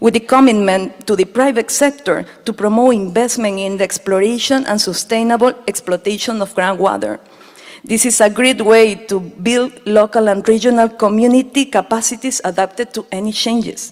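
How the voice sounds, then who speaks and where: With a Spanish accent, a woman speaks at a moderate pace in a fairly high voice with fairly even intonation, against noticeable background noise. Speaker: speaker at a water summit. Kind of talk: prepared conference speech.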